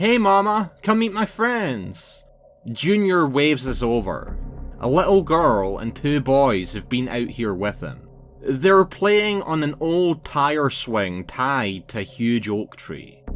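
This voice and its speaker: Speaking very slowly with a Scottish accent, this voice swings very widely in pitch over music in the background. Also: man. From Scotland. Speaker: narrator. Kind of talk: horror story narration.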